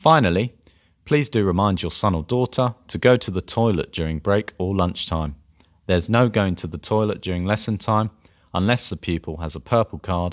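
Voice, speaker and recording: A man's very deep, low voice with a London accent at a moderate pace, with ordinary pitch variation, a dry, close sound with no echo and a very clean recording with a silent background. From North London. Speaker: language teacher. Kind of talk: scripted presentation.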